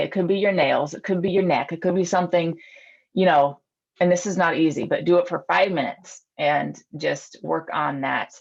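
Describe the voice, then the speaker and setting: Speaking at a moderate pace, a woman has a normal speaking voice with fairly low pitch and ordinary pitch variation. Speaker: eating psychology coach and police officer. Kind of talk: online group presentation. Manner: casual, filler-heavy.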